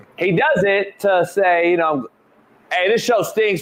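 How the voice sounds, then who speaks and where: Noticeable background noise sits behind a man speaking. He keeps a moderate pace with ordinary pitch variation. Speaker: sports talk show host. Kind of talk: live sports talk show. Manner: animated.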